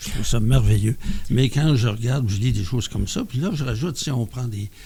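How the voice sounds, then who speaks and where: Noticeable background noise sits behind a man's voice. He speaks at a medium pitch with lively intonation. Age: 70s. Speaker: member of a mental health community group. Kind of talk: podcast testimony. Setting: around a table with group.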